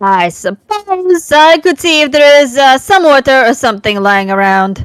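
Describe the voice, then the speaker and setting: A female-sounding put-on character voice, high in pitch, with very wide pitch swings at a moderate pace. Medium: fan dub. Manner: playful, teasing.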